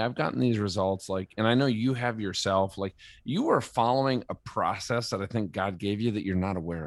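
A man speaks in a normal speaking voice at a medium pitch, with lively intonation. The background is quiet. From Minnesota. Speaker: former navy pilot, entrepreneur. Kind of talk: interview.

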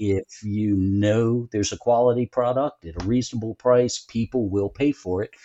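A man speaks with a Southern US accent. He talks with hardly any pauses. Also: medium pitch for a man, ordinary pitch variation, moderate pace. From US South, North Carolina. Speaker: tech company co-founder. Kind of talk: casual interview.

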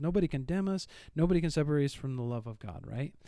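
In a Northern Midwestern accent, this voice moves at a very fast pace with lively intonation and a dark, mellow tone, captured in a very clean recording over a silent background. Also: man. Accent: Northern Midwestern American. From US Midwest. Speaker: church podcast co-host discussing the Bible. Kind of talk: casual Bible discussion. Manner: rambling.

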